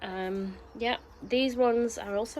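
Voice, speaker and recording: A woman with a fairly high pitch and a Yorkshire accent. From Yorkshire, northern England. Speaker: allotment gardening vlogger. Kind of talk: casual vlog talk to camera. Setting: outdoors on allotment. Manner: chatty with frequent fillers.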